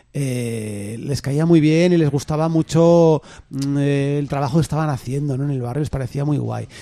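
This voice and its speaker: In an ordinary speaking voice, the speaker moves at a moderate pace with fairly even intonation. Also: man, fairly high pitch for a man. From Castile, Spain. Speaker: community radio host. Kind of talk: casual chat.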